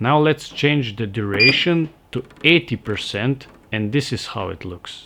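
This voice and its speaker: Speaking fairly slowly, this voice carries a non-native accent. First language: not English. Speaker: welding tutorial maker. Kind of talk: instructional tutorial narration.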